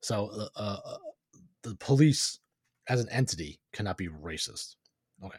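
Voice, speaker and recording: The voice is somewhat breathy, with lively intonation and big swings in loudness. Long, frequent pauses break up the speech, and the sound is dry and close with no echo. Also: man, fairly low pitch for a man, moderate pace. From New York. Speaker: podcast host. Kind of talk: commentary with reading aloud.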